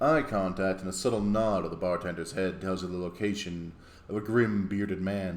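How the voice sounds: Someone reads in a natural reading voice, keeping the intonation fairly even.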